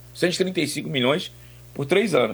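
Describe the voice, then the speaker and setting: A man's voice with vocal fry. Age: 50s. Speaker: sports radio commentator. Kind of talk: sports talk radio.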